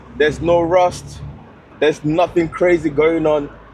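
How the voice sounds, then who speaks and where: Over noticeable background noise, a man with a fairly high voice talks in an animated tone at a fairly slow pace. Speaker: car vlogger. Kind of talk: casual chat; vlog talk to camera. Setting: in a convertible car. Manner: loud.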